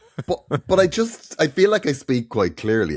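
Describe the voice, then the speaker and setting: A man speaks with an Irish accent and vocal fry. His pitch swings very widely. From Ireland. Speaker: comedian and podcast co-host. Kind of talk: casual chat. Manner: clear diction.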